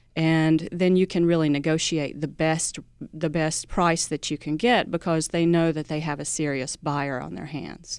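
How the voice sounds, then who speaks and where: Music plays behind a woman with an American accent and a very deep, low pitch. She speaks at a moderate pace with fairly even intonation. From US South. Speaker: credit union executive. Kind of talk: radio interview.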